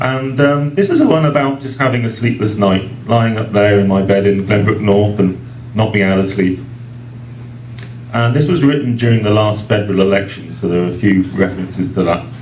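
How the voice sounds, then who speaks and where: A man with an English accent, fairly low-pitched and fairly quick, amid audible room echo and noticeable background noise. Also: ordinary pitch variation. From England. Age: 40s. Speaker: poet. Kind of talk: poetry reading; casual introduction. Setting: book launch event at a restaurant.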